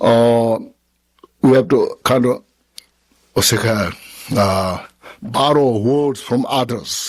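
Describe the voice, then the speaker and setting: A man is speaking. He has a Tibetan accent. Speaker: Buddhist teacher. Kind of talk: question and answer after a dharma teaching. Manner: halting.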